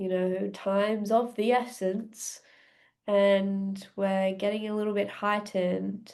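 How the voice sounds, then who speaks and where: Very slowly, a woman speaks in a monotone with flat intonation. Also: medium pitch for a woman, quiet background. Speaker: breathwork coach. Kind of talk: podcast interview.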